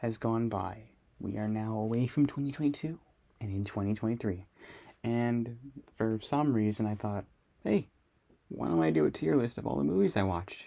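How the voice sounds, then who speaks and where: Long, frequent pauses break up this man's moderate pace. His pitch is fairly low, and the background is quiet. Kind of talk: casual movie tier list talk. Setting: recorded in a closet. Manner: monotone.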